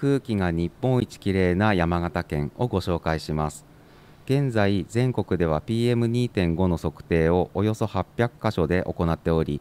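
A man speaks with a very deep, low pitch and lively intonation. The recording is very clean, with a silent background. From Yamagata, Shonai region (Sakata). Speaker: prefectural government staff. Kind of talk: reading aloud; interview. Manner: formal, with hesitations.

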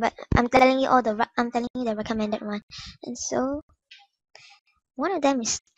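A squeaky, fairly high-pitched woman's voice with fairly even intonation. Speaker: gaming YouTuber. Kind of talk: casual game tutorial voice-over.

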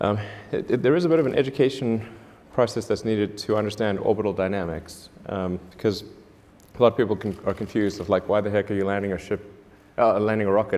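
Fairly low in pitch, a man talks at a fairly quick pace. His pitch varies in an ordinary way. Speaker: interview guest. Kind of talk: interview answer. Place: stage. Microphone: lapel.

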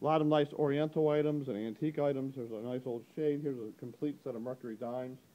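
Talking at a fairly quick pace, a man has a dark, mellow tone. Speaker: auctioneer. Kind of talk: auction preview walkthrough narration to camera. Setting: recorded on location in an auction gallery. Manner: casual, upbeat, brisk. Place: shop. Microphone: phone near.

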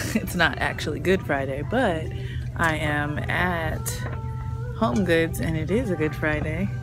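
Over clear music in the background, a woman speaks at a very slow pace with long, frequent pauses. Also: dry sound with no echo. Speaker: lifestyle vlogger. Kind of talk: casual vlog chat. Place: shop. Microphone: phone near.

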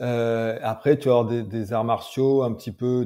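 A dark, mellow tone moves at a very slow pace on a very clean recording with a silent background. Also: man. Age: 30s. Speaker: mental coach and MMA trainer. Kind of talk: interview.

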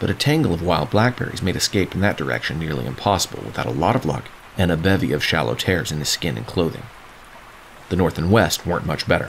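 A man speaks very fast with a very deep, low pitch that swings very widely. Noticeable background noise can be heard. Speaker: author reading own novel. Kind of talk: epic fantasy audiobook reading.

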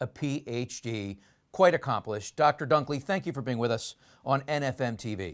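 A man speaks at a moderate pace with a fairly high pitch. His intonation is lively, and the background is quiet. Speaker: TV interview host. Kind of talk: interview questions. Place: studio.

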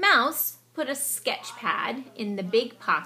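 The voice is an unforced reading voice with lively intonation.

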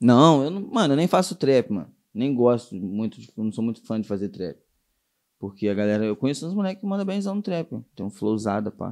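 Medium in pitch and dark, mellow in tone, a man's voice moves through very wide pitch swings. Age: 20s. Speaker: rapper. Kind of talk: casual chat.

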